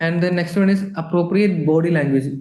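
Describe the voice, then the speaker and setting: Speaking at a fairly quick pace with fairly even intonation, a man with a dark, mellow tone and a fairly high pitch is heard with audible room echo. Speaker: palliative care nurse educator. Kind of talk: lecture.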